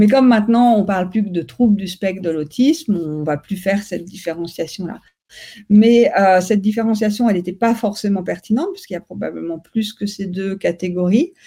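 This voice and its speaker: A woman's voice, somewhat breathy and medium in pitch, carries a dark, mellow tone. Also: ordinary pitch variation, fairly quick pace. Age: young. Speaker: neuroscience researcher. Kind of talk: interview. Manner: halting.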